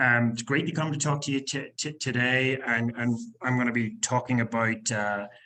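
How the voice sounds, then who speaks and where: A man with a Northern Irish accent talks at a moderate pace and medium pitch in a bright, sharp tone. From Northern Ireland, Belfast. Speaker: company executive. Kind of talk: business presentation. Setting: conference presentation. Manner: halting, many fillers and repetitions; enthusiastic.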